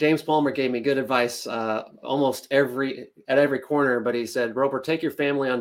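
A man with an American accent has an unremarkable speaking voice, talking at a fairly quick pace with fairly even intonation. The recording is very clean, with a silent background. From central Kansas and Nebraska small towns. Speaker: insurance agency founder. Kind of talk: interview.

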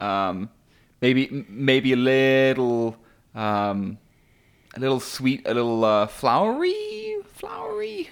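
Very wide pitch swings mark this speech, delivered at a very slow pace. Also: man, medium pitch for a man. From England. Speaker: podcast co-host. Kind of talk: casual chat. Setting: casual conversation while smoking cigars. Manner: hesitant, filled with pauses.

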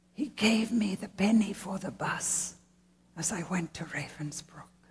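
A female-sounding put-on character voice at a medium pitch speaks at a moderate pace.

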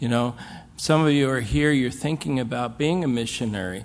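Here is a man with a plain, everyday voice. His pitch is medium, with ordinary pitch variation. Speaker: missionary pastor. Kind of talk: mission talk with anecdotes. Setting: stage with audience.

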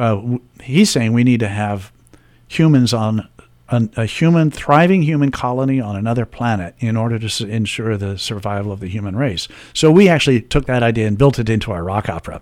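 A normal speaking voice from a man with an American accent, medium pitch, and a fairly quick pace. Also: ordinary pitch variation. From Washington, D.C. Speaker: musician and composer. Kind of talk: radio interview.

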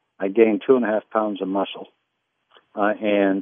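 Monotone, flat intonation marks a man speaking at a fairly low pitch. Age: 70s. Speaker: caller. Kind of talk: casual chat. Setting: phone call. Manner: halting.

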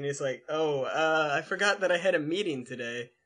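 Here is a man with a fairly high pitch. His intonation is lively. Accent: American. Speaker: podcast host. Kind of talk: casual chat.

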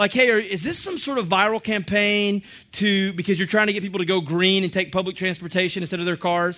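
A man speaks in a raised, projected voice with a bright, sharp, animated tone. His pace is fairly quick. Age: 30s. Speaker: church teacher. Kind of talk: sermon.

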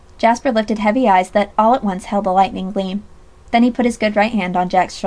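What you hear is a natural reading voice.

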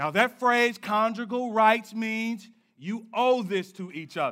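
A raised, projected voice at a moderate pace, bright and sharp in tone, animated and playful, with ordinary pitch variation. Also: man. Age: 30s. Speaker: pastor. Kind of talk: sermon, lively conversational church preaching with congregation call-and-response. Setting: church with live congregation. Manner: animated, playful and joking, riffing with the crowd; emphatic, punchy declarations drawing amens.

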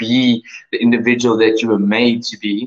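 At a moderate pace, a man with a South African accent speaks at a medium pitch, the sound dry and close with no echo. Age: 30s. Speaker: online English teacher. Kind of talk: self-introduction video. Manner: halting, many fillers.

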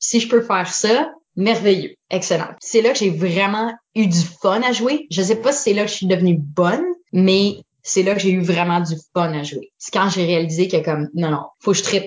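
With a normal speaking voice, a woman speaks at a medium pitch and a moderate pace, her intonation lively. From Eastern Ontario (Franco-Ontarian, Orléans/Ottawa). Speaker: improv performer. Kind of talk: casual interview.

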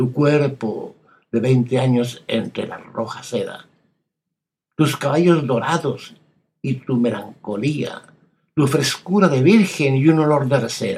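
A man talks at a very slow pace with long, frequent pauses and a dramatic tone. His voice is fairly high and somewhat breathy, with ordinary pitch variation. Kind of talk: poetry reading aloud, scripted literary narration of a poem. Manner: slow, hushed, intimate and wistful, with measured dramatic pauses.

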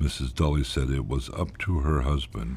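A man with a very deep, low pitch talks at a moderate pace over noticeable background noise. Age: 50s. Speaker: lobotomy patient and narrator. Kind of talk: first-person documentary narration.

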